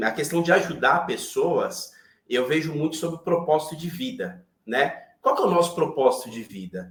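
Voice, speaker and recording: The man has an unremarkable speaking voice with a fairly high pitch. He speaks at a fairly slow pace. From Brazil, São Paulo. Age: 40s. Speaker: IT professional and manager. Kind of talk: interview conversation on a live online chat.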